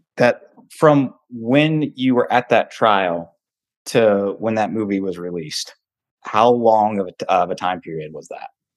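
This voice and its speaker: A man with a normal speaking voice talks at a fairly slow pace, his pitch fairly low. His intonation is lively and his loudness swings widely. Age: 30s. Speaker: podcast host. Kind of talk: casual interview chat.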